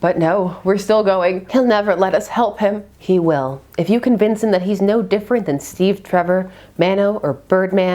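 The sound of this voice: Simply an unforced reading voice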